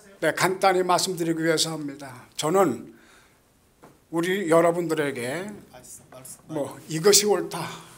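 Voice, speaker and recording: A man at a high pitch, fairly slow, with long, frequent pauses and audible room echo. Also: ordinary pitch variation. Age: 80s+. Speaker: Buddhist monk. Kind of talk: speech at event. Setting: event hall with audience.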